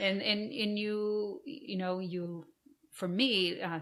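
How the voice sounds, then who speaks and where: A woman with a Portuguese accent. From Brazil. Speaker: arts organization founder, former professional performer. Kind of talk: podcast interview.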